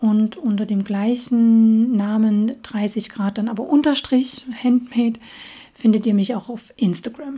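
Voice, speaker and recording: Fairly even intonation and a very slow pace from a woman with a fairly high voice. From Saxony, Dresden. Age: 30s. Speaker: podcast host. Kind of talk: casual monologue.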